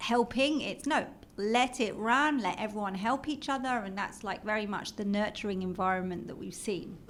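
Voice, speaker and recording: This woman has a British accent and a fairly high pitch. She speaks at a moderate pace with ordinary pitch variation. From London, England. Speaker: marketing executive. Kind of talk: interview.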